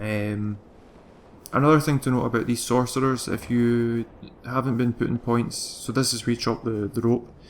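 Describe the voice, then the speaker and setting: Flat and monotone, a man with a Glaswegian accent speaks at medium pitch. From Scotland, Glasgow. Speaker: video game guide creator. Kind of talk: gameplay commentary tutorial. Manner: fast; hesitant, many fillers.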